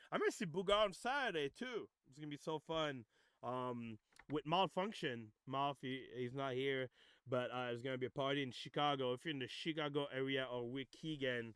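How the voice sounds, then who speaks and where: This man has a French accent and a fairly high pitch. He talks at a moderate pace with ordinary pitch variation. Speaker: music producer and DJ hosting demo reviews. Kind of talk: livestream demo review, casual chat. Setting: Discord voice chat livestream. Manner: halting, many fillers.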